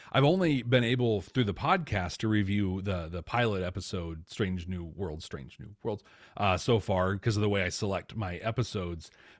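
With an ordinary speaking voice, a man of fairly low pitch talks at a moderate pace with ordinary pitch variation, on a very clean recording with a silent background. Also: hardly any pauses. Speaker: podcast host and business manager. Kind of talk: casual interview chat.

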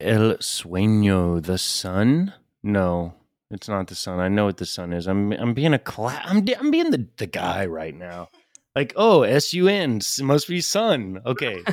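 A fairly slow delivery in an American accent, with lively intonation and big swings in loudness. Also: man, fairly low pitch for a man. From US South, Chattanooga, Tennessee. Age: 20s. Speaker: language student. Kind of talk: lesson. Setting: remote recording. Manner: halting.

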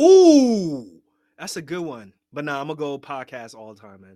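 A man with an American accent speaks at a moderate pace in a dark, mellow tone, on a very clean recording with a silent background. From US Northeast (Queens, New York). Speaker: general surgeon and podcast host. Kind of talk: casual interview chat.

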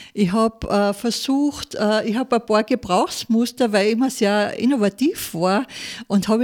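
In a dry, close sound with no echo, a woman speaks at a moderate pace. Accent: Salzburg. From Austria, Salzburg region (Pinzgau). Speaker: former restaurateur, food entrepreneur. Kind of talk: personal testimony interview. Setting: studio.

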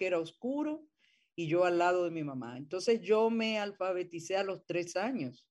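A woman talks at a moderate pace in an ordinary speaking voice. Her medium pitch moves with lively intonation. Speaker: theatre actress and director. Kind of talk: interview.

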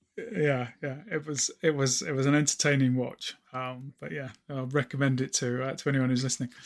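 A normal speaking voice at a moderate pace, with hardly any pauses and fairly even intonation. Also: man, medium pitch for a man. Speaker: podcast host. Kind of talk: casual interview chat.

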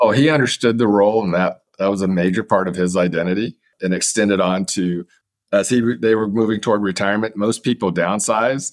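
A man with an ordinary speaking voice talks at a fairly quick pace. His pitch is fairly low, with ordinary pitch variation. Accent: American. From Kansas, US Midwest. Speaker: professor. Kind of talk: interview. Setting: remote call from Japan.

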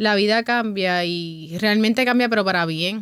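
Intonation stays fairly even at a moderate pace. It is a normal speaking voice. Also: woman. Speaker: bar owner. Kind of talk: interview conversation.

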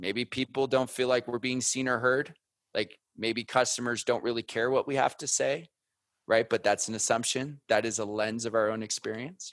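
A normal speaking voice from a man, medium in pitch, with fairly even intonation, a moderate pace, and a dry, close sound with no echo against a quiet background. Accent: American. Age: 30s. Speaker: former Marine turned podcast media founder. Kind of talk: interview conversation.

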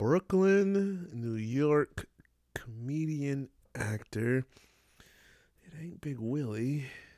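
The speaker has a dark, mellow tone and lively intonation, talking very slowly with long, frequent pauses. The recording is very clean, with a silent background. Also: man, fairly high pitch for a man. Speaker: podcast co-host. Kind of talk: casual chat. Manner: animated.

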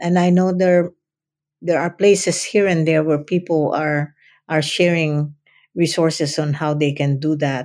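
A woman's very deep, low voice at a fairly slow pace with fairly even intonation. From Philippines (Central Luzon, Kapampangan). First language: Kapampangan / Filipino. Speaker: retired professor. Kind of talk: interview. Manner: halting, with repetitions.

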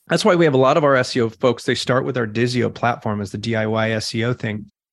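The recording is very clean with a silent background, and the man has an unremarkable speaking voice with ordinary pitch variation. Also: medium pitch for a man, moderate pace. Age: 40s. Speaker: digital marketing entrepreneur. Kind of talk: interview.

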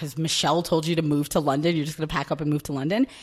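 Talking at a very fast pace, a woman with a New York accent has a very deep, low pitch. Her pitch varies in an ordinary way. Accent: New York American. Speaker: recruitment team lead. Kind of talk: casual interview chat.

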